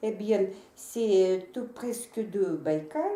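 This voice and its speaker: Over noticeable background noise, someone speaks at a very slow pace in a Russian accent. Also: woman. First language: Russian (speaking French). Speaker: interpreter. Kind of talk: consecutive interpreting in video message. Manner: halting, many hesitations.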